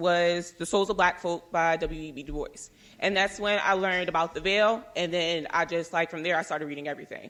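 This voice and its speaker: Against a quiet background, a woman talks with a medium pitch and ordinary pitch variation. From US Northeast, Philadelphia. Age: 20s. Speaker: panelist. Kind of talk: panel talk. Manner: fast.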